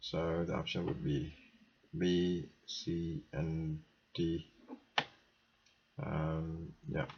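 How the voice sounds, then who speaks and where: A man's very deep, somewhat breathy voice, monotone and flat, at very even loudness with long, frequent pauses. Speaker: software tutor. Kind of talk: tutorial. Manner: halting.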